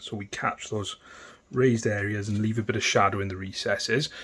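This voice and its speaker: The recording is very clean with a silent background, capturing a man at a medium pitch. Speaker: miniature painting tutor. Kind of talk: tutorial. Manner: casual, hesitant with ums.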